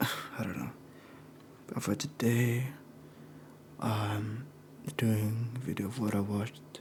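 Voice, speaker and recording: A soft-spoken man with a medium pitch and ordinary pitch variation talks at a very slow pace in a relaxed tone, leaving long, frequent pauses, with noticeable background noise behind him. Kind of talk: casual talk to camera, monthly media recap. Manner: soft-spoken, relaxed.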